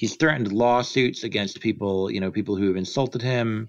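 Against a quiet background, a man with an American accent speaks in an ordinary speaking voice at a fairly low pitch with ordinary pitch variation. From United States. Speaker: philosophy graduate student and writer. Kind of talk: casual discussion.

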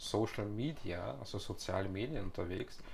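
Somewhat breathy, the voice moves at a fairly slow pace. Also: man. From Austria, Vienna. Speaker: podcast host. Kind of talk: casual interview. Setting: in person.

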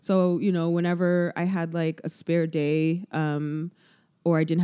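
A woman with a Canadian accent speaks in a dark, mellow tone at a fairly low pitch, on a very clean recording with a silent background. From Canada, Toronto. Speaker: DJ. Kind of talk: casual chat.

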